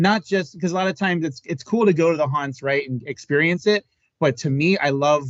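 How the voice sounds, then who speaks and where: A man's normal speaking voice, fairly high-pitched, at a fairly quick pace with ordinary pitch variation. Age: 40s. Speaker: podcast host. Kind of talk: casual chat. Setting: live podcast.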